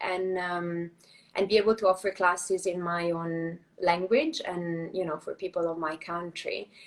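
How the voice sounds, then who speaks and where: A woman speaks at a moderate pace with an Italian accent. Her pitch is fairly low and her intonation fairly even. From Italy. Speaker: Pilates and yoga teacher. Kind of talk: casual interview. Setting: live video stream.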